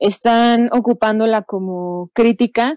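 A woman's fairly high voice with ordinary pitch variation, a dark, mellow tone, and a dry, close sound with no echo. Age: 20s. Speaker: film festival event coordinator. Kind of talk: casual panel discussion.

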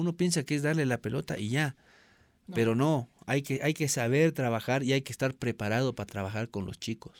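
A man talks at a fairly quick pace with a medium pitch and ordinary pitch variation, in a plain, everyday voice. The sound is dry and close, with no echo. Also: very clean recording, silent background. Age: 30s. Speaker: former goalkeeper and goalkeeping coach. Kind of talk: interview.

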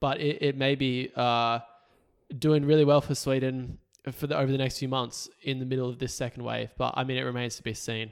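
A man speaks in an Australian accent at medium pitch. His pace is fairly quick and his intonation monotone and flat. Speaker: political podcast co-host. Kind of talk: casual chat. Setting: recording at co-host's house.

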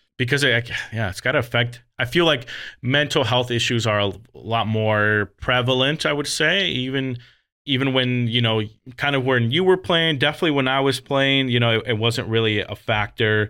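A man with a normal speaking voice talks at a moderate pace in a medium pitch, with ordinary pitch variation. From US West, Las Vegas. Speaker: podcast host and coach. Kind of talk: casual chat.

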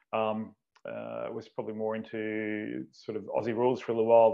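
At a fairly quick pace, a man with an Australian accent talks at a medium pitch. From Australia, Canberra. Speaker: strength and conditioning coach. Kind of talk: casual chat.

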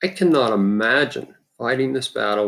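A man with an American accent, at a fairly slow pace. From Utah. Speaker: dentist and cancer patient. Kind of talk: personal testimony.

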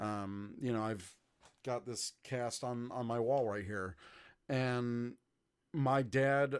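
With an American accent and fairly even intonation, a man speaks in a medium-pitched voice, an unremarkable speaking voice, on a very clean recording with a silent background. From US South, Georgia. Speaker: podcaster, guest co-host. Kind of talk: casual chat.

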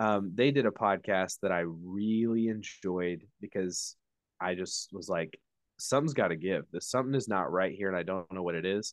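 A man's normal speaking voice, fairly low in pitch with ordinary pitch variation, at a moderate pace, dry and close with no echo over a quiet background. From Indiana. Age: 30s. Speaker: former church worker. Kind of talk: interview.

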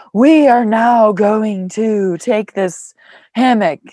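A female-sounding voice puts on a character voice at a fairly high pitch. The delivery is very slow. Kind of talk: instructional, performed. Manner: fake, overly soothing.

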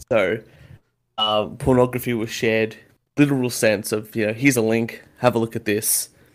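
A man with an Australian accent, at a moderate pace with fairly even intonation. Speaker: podcast host. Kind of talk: casual chat. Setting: video call.

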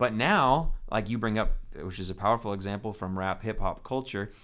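An ordinary speaking voice from a man, fairly low in pitch, at a moderate pace, in a very clean recording with a silent background. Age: 40s. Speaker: pastor and podcast host. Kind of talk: casual chat. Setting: studio.

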